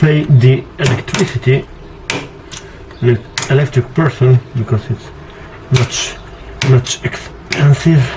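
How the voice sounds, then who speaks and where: Against noticeable background noise, a man at medium pitch speaks very slowly with fairly even intonation and long, frequent pauses. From Slovenia. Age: 20s. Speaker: pop singer. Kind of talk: casual DIY tutorial talk to camera. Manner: jokey, playful.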